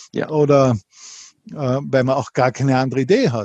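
A man's somewhat breathy voice with a dark, mellow tone, at a fairly slow pace, dry and close with no echo. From Austria, Linz, Upper Austria. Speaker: entrepreneur and author. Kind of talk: interview.

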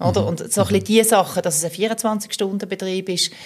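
Using an unremarkable speaking voice, a woman speaks at a fairly quick pace with ordinary pitch variation. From Switzerland, Basel (Kleinbasel). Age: 40s. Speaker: police chief and political candidate. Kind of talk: casual interview.

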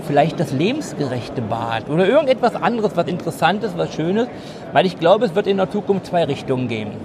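There is noticeable background noise. Over it comes a man's high-pitched voice. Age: 50s. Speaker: master plumber and futurist consultant. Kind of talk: interview. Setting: trade fair.

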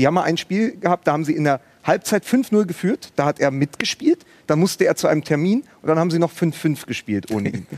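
A high-pitched man at a fairly quick pace, dry and close with no echo, over noticeable background noise. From Berlin, Germany. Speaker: writer and podcaster. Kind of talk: live TV talk show discussion. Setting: studio at a live event.

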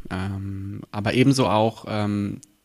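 A man speaks at a fairly low pitch, his intonation flat and monotone. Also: very clean recording, silent background. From Berlin (Friedrichshain-Kreuzberg). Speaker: local politician. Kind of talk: interview. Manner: hesitant with frequent fillers.

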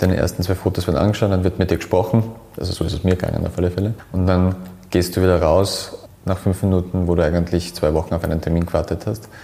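Amid noticeable background noise, a man speaks very fast at a very deep, low pitch with monotone, flat intonation. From Austria, Graz. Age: 30s. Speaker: hairdresser and salon owner. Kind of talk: interview. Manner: halting, many repetitions.

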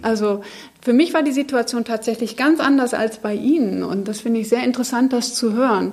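Noticeable background noise runs behind a woman speaking at a fairly high pitch. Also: ordinary pitch variation. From Germany, Munich. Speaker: biochemist. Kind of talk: panel discussion. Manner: hesitant, many fillers.

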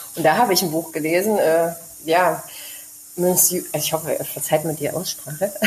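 A woman's fairly low voice at a fairly quick pace, fairly even in intonation, with long, frequent pauses over noticeable background noise. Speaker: expat mother living abroad. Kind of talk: casual interview chat.

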